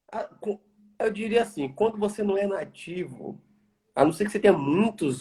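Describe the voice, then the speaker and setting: A man with a strong Bahian accent, high-pitched for a man, dark and mellow in tone, at a moderate pace. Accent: Bahia accent, strong. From Brazil, Bahia. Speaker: environmental engineer. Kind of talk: interview.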